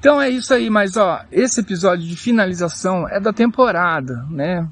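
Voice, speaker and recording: A man speaks with high pitch. His pace is fairly slow. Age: 30s. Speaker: podcaster and YouTuber. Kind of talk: casual monologue. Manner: halting.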